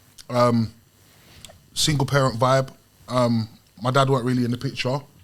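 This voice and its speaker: A man at a medium pitch talks at a moderate pace with monotone, flat intonation and long, frequent pauses. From South London, England. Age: 30s. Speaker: guest. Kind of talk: casual chat.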